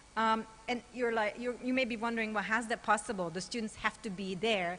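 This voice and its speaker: There is noticeable background noise as a woman speaks with a fairly high pitch and ordinary pitch variation. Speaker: conference keynote speaker. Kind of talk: conference lecture. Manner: conversational, animated.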